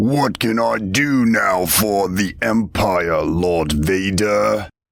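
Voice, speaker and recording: A man puts on a booming character voice at a fairly low pitch. He speaks at a very slow pace. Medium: read story.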